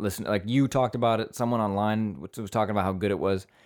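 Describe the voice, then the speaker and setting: On a very clean recording with a silent background, a man with a medium pitch speaks at a very fast pace in a playful tone. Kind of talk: casual chat. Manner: banter, playful.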